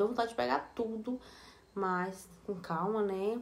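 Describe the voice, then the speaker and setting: With ordinary pitch variation, a woman keeps to a moderate pace. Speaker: fashion haul vlogger. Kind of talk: casual vlog chat. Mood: relaxed, friendly. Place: home room. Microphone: phone near.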